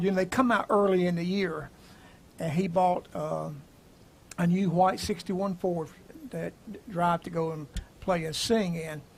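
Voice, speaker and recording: The speaker has a Southern US accent. The intonation stays fairly even. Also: man. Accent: Southern US (Georgia). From US South, Atlanta, Georgia. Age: 70s. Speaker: gospel musician. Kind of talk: casual chat. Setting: live stream. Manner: halting.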